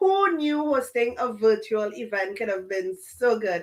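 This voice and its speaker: A woman speaks with a Trinidadian accent, her high-pitched voice bright and sharp in tone. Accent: Trinidadian Caribbean accent, noticeable. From Trinidad and Tobago. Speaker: business coach and podcast host. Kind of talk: interview.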